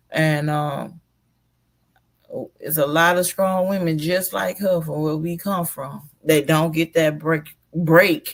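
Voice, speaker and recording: The speech comes at a very slow pace in an Alabama accent. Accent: Southern US (Alabama). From US South, Mobile, Alabama. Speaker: live streamer. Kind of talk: casual live stream commentary. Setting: live stream.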